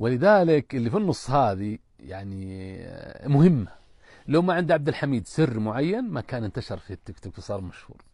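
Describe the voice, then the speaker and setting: A man's medium-pitched voice, dark and mellow in tone, at a moderate pace with very wide pitch swings, against a quiet background in a dry sound with no echo. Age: 50s. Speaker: businessman; guest. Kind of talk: interview. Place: tent. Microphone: lapel.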